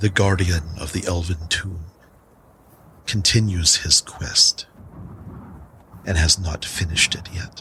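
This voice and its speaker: Putting on a character voice, a man booms at a very deep, low pitch, fairly slowly and with fairly even intonation, leaving long, frequent pauses. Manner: warm, fatherly.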